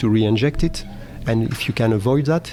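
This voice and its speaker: A man talks at a fairly quick pace with ordinary pitch variation. Noticeable background noise runs behind him. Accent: French. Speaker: oil and gas technology manager. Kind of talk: interview. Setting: live event recording. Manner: halting.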